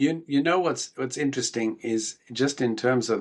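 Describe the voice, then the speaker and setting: With a South African accent, a man speaks at a moderate pace and ordinary pitch variation over a quiet background. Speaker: rabbi. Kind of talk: podcast interview.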